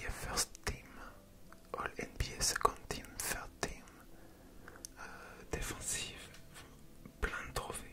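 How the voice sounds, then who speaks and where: The speech is whispered at a very slow pace, with long, frequent pauses. Noticeable background noise is present behind it. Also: man. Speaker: ASMR creator. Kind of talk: ASMR whispered reading. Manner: whispered, soft-spoken.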